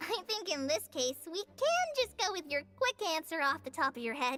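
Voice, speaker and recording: An extremely high, squeaky, put-on character voice at a moderate pace, with faint music in the background. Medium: game stream. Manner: friendly, reassuring.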